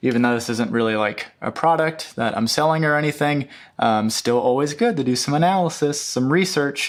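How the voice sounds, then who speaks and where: A man mumbles at a fairly high pitch with lively intonation and very even loudness. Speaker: YouTuber on UX design. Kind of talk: casual screen-share walkthrough. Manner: hesitant, many fillers; mumbling.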